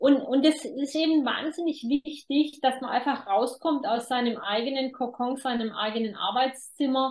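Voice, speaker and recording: Hardly pausing, a woman speaks at a moderate pace in a high pitch with fairly even intonation. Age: 50s. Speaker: demography expert and author. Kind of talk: interview.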